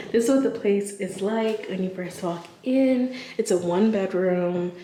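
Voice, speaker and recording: Whispered words from a woman, with noticeable noise behind them. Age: 30s. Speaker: lifestyle vlogger. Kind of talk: casual vlog. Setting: lofted rental apartment. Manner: whispering. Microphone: echo in the room.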